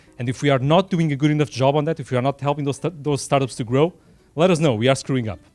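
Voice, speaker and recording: Music plays behind a man speaking very fast with a Portuguese accent. His pitch is fairly high, with ordinary variation. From Portugal, Lisbon. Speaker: tech company startup program representative. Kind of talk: event speech. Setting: small room dinner event. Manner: unscripted, from the heart.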